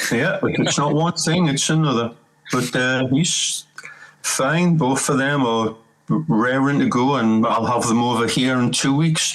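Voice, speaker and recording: With a Geordie accent, a man talks at a fairly slow pace and very even loudness. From northern England, Newcastle. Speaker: rock bassist and singer. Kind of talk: casual chat.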